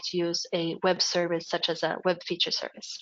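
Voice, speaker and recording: A woman at a moderate pace with a Swedish accent. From Sweden, Gothenburg. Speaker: project presenter. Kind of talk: webinar software demo. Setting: online webinar. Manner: hesitant with fillers.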